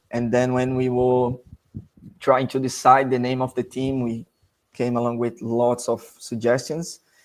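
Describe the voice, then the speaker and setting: Speaking in a Portuguese accent at a fairly slow pace, a man keeps a medium pitch and a monotone, flat intonation. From Brazil. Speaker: amateur football club player and representative. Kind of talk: podcast interview. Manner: halting, searching for words.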